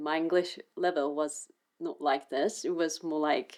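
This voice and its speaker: A woman's fairly low-pitched voice in a Japanese accent, at a fairly slow pace. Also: very clean recording, silent background. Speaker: artist and video creator. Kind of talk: unscripted casual chat to camera. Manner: halting, with self-corrections.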